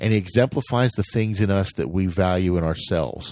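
This man has a very deep, low voice with a dark, mellow tone and an American accent, talking at a fairly quick pace with ordinary pitch variation. The background is quiet, and the sound is dry and close with no echo. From United States. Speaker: podcast host. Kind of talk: solo podcast monologue.

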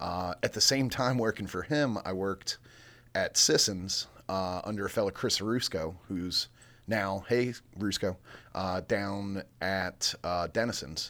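A man's fairly low voice with an American accent, fairly slow in pace with ordinary pitch variation, a normal speaking voice. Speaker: brewery co-founder and brewer. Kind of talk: casual chat. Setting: studio.

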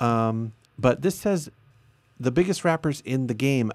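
A man's normal speaking voice at a medium pitch, lively in intonation, on a very clean recording with a silent background. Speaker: solo podcast host. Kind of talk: news reading with commentary. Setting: live stream recording.

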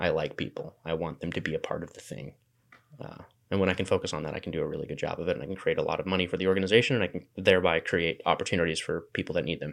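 Speaking at a very fast pace against a quiet background, a man talks with a West Coast accent. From Washington State. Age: 20s. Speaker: makerspace founder. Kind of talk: casual chat.

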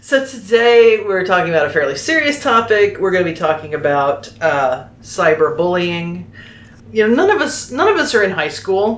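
A woman with an American accent speaks at a medium pitch and moderate pace, with very wide pitch swings. Background noise is noticeable and room echo is audible. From Oklahoma. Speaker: podcast host. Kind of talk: casual chat.

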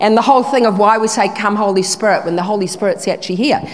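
A woman rushes through her words at a very fast pace, with noticeable background noise around her. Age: 70s. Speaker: guest preacher. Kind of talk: sermon. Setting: church.

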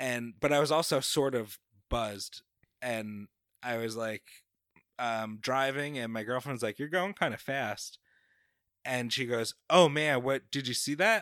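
With an American accent, a man of medium pitch talks at a fairly slow pace, using ordinary pitch variation and long, frequent pauses. The recording is very clean with a silent background and a dry, close sound with no echo. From New York, Long Island (Babylon). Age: 30s. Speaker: comedian. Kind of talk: casual chat.

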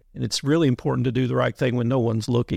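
A man talks very fast with a Kentucky accent at a medium pitch. His intonation is fairly even, and the sound is dry and close with no echo. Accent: Kentucky Southern US. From Western Kentucky (Muhlenberg County). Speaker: police instructor, retired police chief. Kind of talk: interview.

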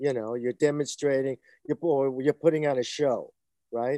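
Against a quiet background, a man with a Brooklyn accent speaks at a fairly high pitch with a dark, mellow tone and fairly even intonation, the sound dry and close with no echo. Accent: New York (Brooklyn). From US Northeast, Brooklyn, New York. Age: 60s. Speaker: stuntman and martial artist, author. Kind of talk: interview. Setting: video call. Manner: halting, many fillers.

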